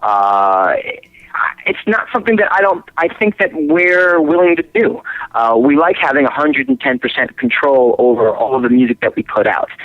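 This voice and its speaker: A man with a high voice and an American accent keeps his loudness very even while his pitch swings very widely. Noticeable background noise can be heard. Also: moderate pace. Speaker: rock singer and guitarist. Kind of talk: interview. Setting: phone call.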